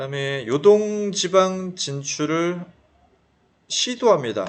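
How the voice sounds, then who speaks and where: A man speaks over noticeable background noise. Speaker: history teacher. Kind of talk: lecture. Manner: fast; casual, conversational.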